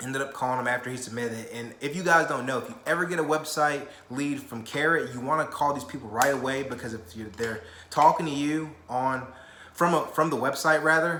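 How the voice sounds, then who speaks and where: In a room with audible echo and noticeable background noise, a man with a fairly high voice speaks in an animated tone at a fairly quick pace, his loudness swinging widely while his pitch varies in an ordinary way. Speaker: real estate investor and vlogger. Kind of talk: casual vlog talk. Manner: fast.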